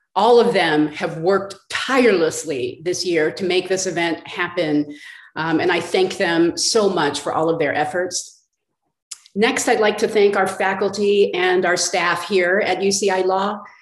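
Against a quiet background, a woman speaks at a fairly slow pace, with audible room echo. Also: ordinary pitch variation. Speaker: law school dean. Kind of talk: formal introductions. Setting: video call. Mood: polite, grateful. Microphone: video call.

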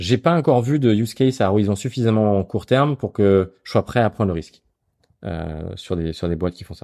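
At a fairly quick pace, a man with a dark, mellow tone and fairly low pitch uses lively intonation and big swings in loudness. The recording is very clean with a silent background, and the sound is dry and close with no echo. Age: 40s. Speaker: founder of an investment advisory platform. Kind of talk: interview. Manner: hesitant, many fillers and repetitions.

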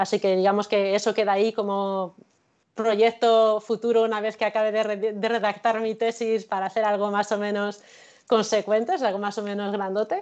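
A woman speaks at a moderate pace in a flat, monotone delivery. The background is quiet. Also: fairly high pitch for a woman. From La Mancha, Spain (Cuenca province); La Mancha, Spain. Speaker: illustrator and researcher; guest. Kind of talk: interview. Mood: cheerful, smiling. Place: home room. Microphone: video call.

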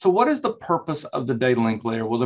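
A man with a North Carolina accent talks at a medium pitch against a quiet background. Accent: Southern US (North Carolina). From North Carolina, US South. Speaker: instructor. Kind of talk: lecture.

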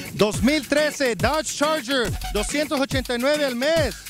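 A man speaks at an extremely high pitch and a fairly slow pace, with ordinary pitch variation and very even loudness, in a dry sound with no echo and clear music in the background. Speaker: TV ad presenter. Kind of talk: TV commercial read. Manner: casual, colloquial. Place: street. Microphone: handheld.

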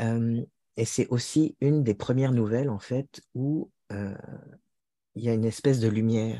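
A man speaks in a dark, mellow tone with long, frequent pauses, the sound dry with no echo and the background quiet. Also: medium pitch for a man, fairly even intonation, fairly slow pace. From France. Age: 40s. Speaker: author and translator; interviewee. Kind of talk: interview conversation. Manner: hesitant, many fillers. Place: home room. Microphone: earbuds.

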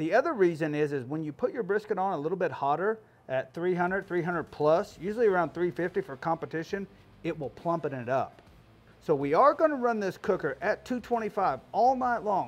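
His intonation is lively. The man's voice is high-pitched. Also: moderate pace. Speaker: barbecue cook host. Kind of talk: tutorial. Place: garden.

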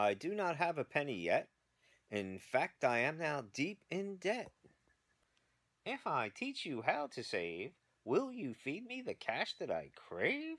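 A put-on character voice at middle pitch and a fairly slow pace, in a very clean recording with a silent background. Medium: read story. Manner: rhyming, preachy.

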